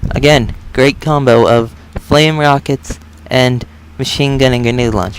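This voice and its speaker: A man's medium-pitched voice moves at a fairly slow pace, its pitch varying in an ordinary way. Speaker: gaming video creator. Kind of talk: gameplay commentary. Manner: loud.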